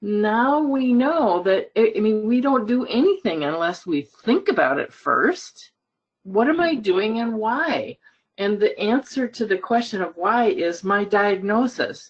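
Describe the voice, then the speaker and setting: The woman's voice sits at a fairly high pitch. It swings very widely in pitch. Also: fairly slow pace. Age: 70s. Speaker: dental professional participant. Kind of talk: webinar group discussion. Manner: animated.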